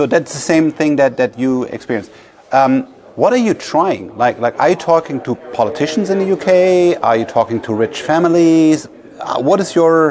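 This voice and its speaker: Noticeable background noise sits under a man speaking at a moderate pace with a German accent. His voice is fairly high, and his intonation is lively. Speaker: podcast host and investor. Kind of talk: interview.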